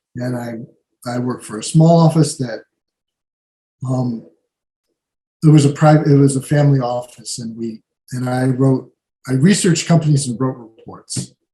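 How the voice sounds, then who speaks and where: Somewhat breathy and at medium pitch, a man speaks with fairly even intonation, big swings in loudness, and long, frequent pauses. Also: moderate pace. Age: 70s. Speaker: writer. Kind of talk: Q&A talk at a club meeting. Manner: halting, many fillers.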